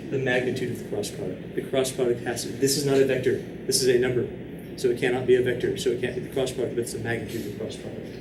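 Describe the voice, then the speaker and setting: With audible room echo and noticeable background noise, a man speaks very fast at a medium pitch and with fairly even intonation. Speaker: math teacher. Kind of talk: lecture.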